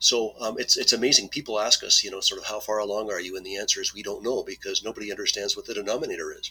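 Over noticeable background noise, a man talks very fast with hardly any pauses and big swings in loudness. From Manitoba, Canada. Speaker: retired IT volunteer genealogist. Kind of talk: podcast interview.

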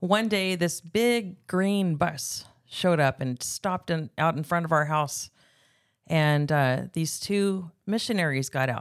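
An ordinary speaking voice with an American accent talks at a fairly slow pace with ordinary pitch variation, captured in a very clean recording with a silent background. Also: woman, fairly low pitch for a woman. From California, Bakersfield countryside. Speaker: guest sharing personal testimony. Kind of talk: testimony.

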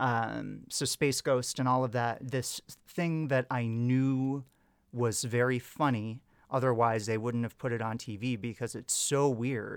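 In a normal speaking voice at medium pitch, a man with an American accent talks at a fairly slow pace with fairly even intonation, on a very clean recording with a silent background. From Wisconsin, US. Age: 30s. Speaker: English teacher. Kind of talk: casual chat.

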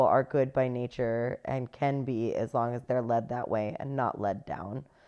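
A woman speaks with an American accent. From United States. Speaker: podcast co-host. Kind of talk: casual chat.

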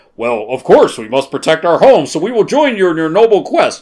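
In a put-on character voice, a man speaks at a fairly quick pace with a high pitch and very wide pitch swings. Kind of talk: formal, noble. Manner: noble, grand.

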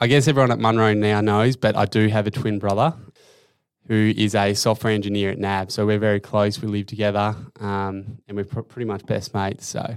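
A man with an Australian accent at a fairly quick pace, in monotone, flat intonation, over a very clean recording with a silent background. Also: fairly low pitch for a man. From Tasmania, Australia (Hobart). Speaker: finance operations analyst, former footballer. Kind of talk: interview.

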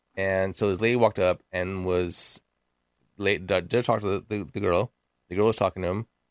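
A man's very deep, low voice comes through dry and close with no echo, his intonation fairly even. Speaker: podcast co-host. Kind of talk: casual chat. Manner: fast talker; mumbles when nervous.

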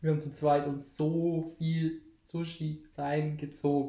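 A man's fairly high-pitched voice, dark and mellow in tone, monotone and flat, with audible room echo. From Lower Bavaria (Landshut). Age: 20s. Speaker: podcast host. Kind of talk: casual chat.

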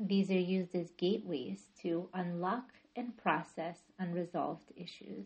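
Somewhat breathy and gentle, soothing in tone, a woman talks at a fairly slow pace with fairly low pitch and ordinary pitch variation. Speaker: yoga nidra teacher and therapist. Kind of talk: guided meditation. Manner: slow, soothing, calm; gentle, measured, with long pauses.

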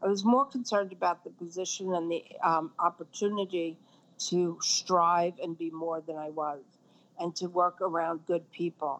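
Fairly low in pitch, a woman with an American accent talks in an unremarkable speaking voice at a moderate pace with fairly even intonation. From Brooklyn, New York. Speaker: fashion industry consultant. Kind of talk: interview.

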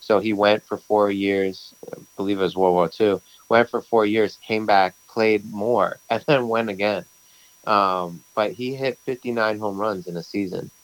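Man with a New York accent, fairly low pitch, fairly even intonation and fairly slow pace, in a dry, close sound with no echo. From Brooklyn, New York. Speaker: bagel shop owner. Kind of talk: casual interview.

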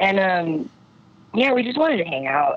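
The speech has lively intonation and a moderate pace. Noticeable background noise sits underneath. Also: woman. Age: 20s. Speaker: musician in a band. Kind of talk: casual chat. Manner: halting, many fillers.

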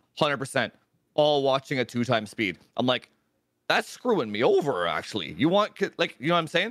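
A man talks with a fairly high pitch and very wide pitch swings. Vocal fry runs through his voice. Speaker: tech YouTuber. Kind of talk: casual chat. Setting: live stream.

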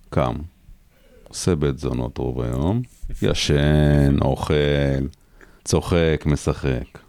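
With noticeable background noise behind him, a man with a very deep, low pitch talks at a very slow pace, using long, frequent pauses and fairly even intonation. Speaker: reserve soldier. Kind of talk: interview.

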